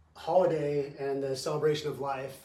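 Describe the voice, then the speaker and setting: Audible room echo sits alongside noticeable background noise in this recording. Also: man. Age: 40s. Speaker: podcast host. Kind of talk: casual chat.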